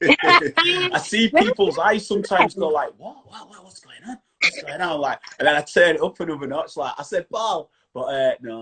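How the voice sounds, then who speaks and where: A man talks with a strong Yorkshire accent. His loudness swings widely. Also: moderate pace, dry, close sound with no echo. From Yorkshire, England. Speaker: chat show host, stand-up comedian and DJ. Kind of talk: interview on live video stream. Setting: social media live video.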